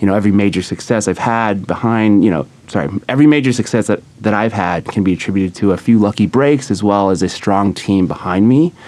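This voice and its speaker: A man with a General American accent speaks very fast, with hardly any pauses and ordinary pitch variation. Noticeable background noise runs underneath. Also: fairly low pitch for a man. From California, San Diego. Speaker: graduating MBA student. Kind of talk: studio interview. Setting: studio with live audience.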